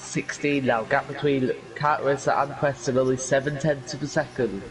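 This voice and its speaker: A man with a medium-pitched voice speaks at a moderate pace with hardly any pauses. Music plays in the background. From Yorkshire, northern England. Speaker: sim racing commentator. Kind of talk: live commentary.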